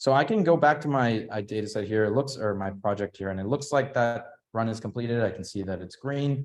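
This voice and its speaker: A man's medium-pitched voice with ordinary pitch variation at a fairly quick pace. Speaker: workshop presenter. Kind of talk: tutorial. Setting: hybrid workshop with in-person and online audience. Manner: fast.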